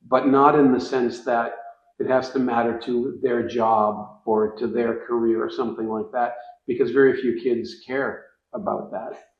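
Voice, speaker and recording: Room echo can be heard around the voice. The man talks at a moderate tempo. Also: medium pitch for a man, ordinary pitch variation. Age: 60s. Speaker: writing curriculum educator. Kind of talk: interview. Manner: halting, frequent repetitions.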